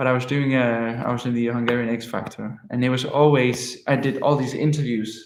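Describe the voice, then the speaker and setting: A man with a medium pitch speaks in a Danish accent. His delivery is monotone and flat at a moderate pace. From Denmark. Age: 20s. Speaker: musician. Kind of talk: livestream chat. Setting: livestream.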